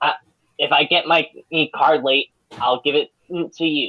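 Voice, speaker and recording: Moderate pace and middle pitch in a put-on character voice. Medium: actual play. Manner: rambling, defensive.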